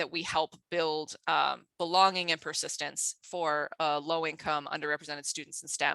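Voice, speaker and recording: This woman's voice sits fairly low in pitch and has a bright, sharp tone, with hardly any pauses. The sound is dry and close with no echo, over a quiet background. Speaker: geoscience education researcher. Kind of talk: conference talk. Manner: fast.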